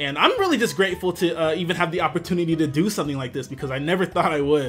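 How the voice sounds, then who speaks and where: A high-pitched man at a very fast pace, with music in the background. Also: ordinary pitch variation. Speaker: aspiring Pokemon event commentator. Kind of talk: casual talk to camera, intro. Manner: excited, enthusiastic.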